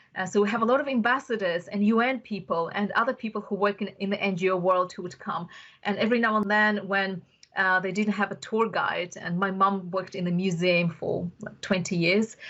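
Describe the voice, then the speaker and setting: A woman at a medium pitch and a fairly quick pace, against a quiet background. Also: fairly even intonation. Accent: Russian. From Uzbekistan (Bukhara). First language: Russian. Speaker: tech entrepreneur. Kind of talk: podcast interview.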